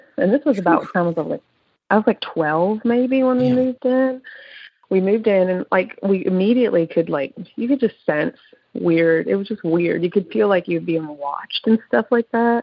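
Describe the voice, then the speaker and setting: Speaking in an American accent, a woman uses an unremarkable speaking voice of medium pitch. She moves at a moderate pace with lively intonation. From Pennsylvania. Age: 40s. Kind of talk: casual chat.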